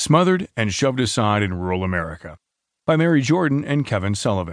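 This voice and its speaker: Over a quiet background, a man with a fairly low pitch speaks at a fairly quick pace in a dramatic tone, his voice making very wide pitch swings. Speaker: audiobook narrator reading news. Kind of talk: formal newsreading. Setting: studio. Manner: formal, measured, steady newsreader delivery; clear and even-paced, lightly dramatic in quoted lines.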